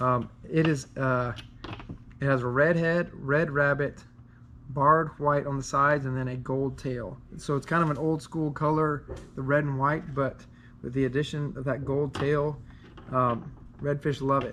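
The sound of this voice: A man speaks at a fairly slow pace with a medium pitch. His tone is fairly bright and his intonation fairly even.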